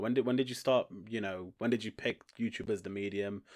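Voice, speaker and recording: A fairly quick Staffordshire accent on a very clean recording with a silent background. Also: man. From Stoke-on-Trent, England. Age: 20s. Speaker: podcast host. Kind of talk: casual interview.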